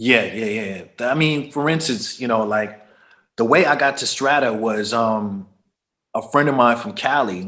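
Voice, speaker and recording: A man talks at a fairly slow pace with a bright, sharp tone. His medium pitch varies in an ordinary way. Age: 50s. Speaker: DJ and music producer. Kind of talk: casual interview.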